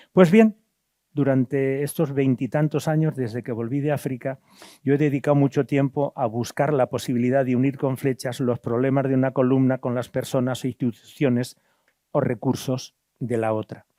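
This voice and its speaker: A man with a dark, mellow tone and medium pitch talks at a moderate pace with fairly even intonation. The very clean recording has a silent background and a dry, close sound with no echo. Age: 70s. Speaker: priest and former missionary. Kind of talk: lecture; reading aloud. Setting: auditorium with audience.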